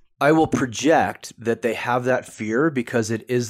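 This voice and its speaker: In an American accent, a man with a normal speaking voice talks at a fairly slow pace, medium in pitch with ordinary pitch variation, on a very clean recording with a silent background. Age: 40s. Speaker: author and men's coach. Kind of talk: interview conversation.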